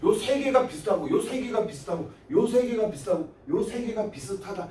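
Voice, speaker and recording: Noticeable background noise sits behind the voice. The delivery comes at a moderate pace. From Gyeongsang province, Korea. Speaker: high school science teacher. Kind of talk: lecture. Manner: casual, conversational.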